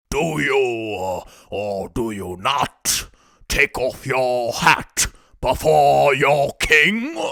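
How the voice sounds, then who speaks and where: A man puts on a character voice, talking very slowly at a medium pitch. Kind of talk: storybook reading. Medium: read story. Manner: imperious, blustering, with hesitant "uh" fillers.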